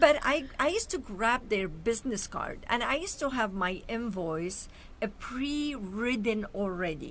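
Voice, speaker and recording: Her pitch is fairly high and her intonation lively. The woman keeps to a fairly slow pace. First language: Arabic or Armenian. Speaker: show host and entrepreneur. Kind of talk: talk show interview.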